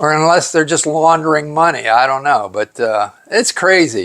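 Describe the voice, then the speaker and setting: Speaking at a fairly slow pace, a man uses a fairly high pitch. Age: 60s. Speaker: YouTuber reviewing secondhand items. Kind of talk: casual vlog. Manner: halting, many filler words.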